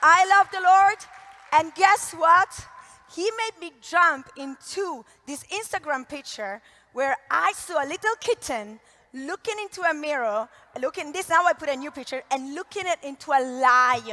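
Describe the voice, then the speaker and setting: A woman's raised, projected voice with an Italian accent, high in pitch and fairly slow, animated in tone with very wide pitch swings and big swings in loudness, in a dry, close sound with no echo. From Italy. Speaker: network marketing entrepreneur. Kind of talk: motivational talk. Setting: stage with audience.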